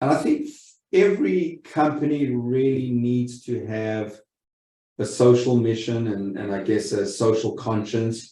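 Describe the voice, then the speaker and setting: A man with a South African accent speaks at a fairly slow pace, with a dark, mellow tone at a medium pitch and ordinary pitch variation. Room echo is audible. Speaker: lending company executive. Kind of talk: webinar presentation. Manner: halting, many repeated words.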